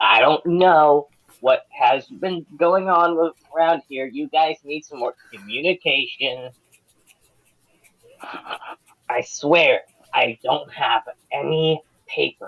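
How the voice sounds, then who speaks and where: This put-on character voice sits at a middle pitch and moves at a very slow pace, broken by long, frequent pauses. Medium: actual play. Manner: rambling, defensive.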